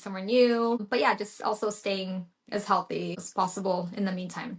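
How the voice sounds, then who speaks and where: At a moderate pace, a woman speaks in an unremarkable speaking voice of medium pitch with fairly even intonation. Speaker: registered nurse. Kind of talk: casual podcast conversation.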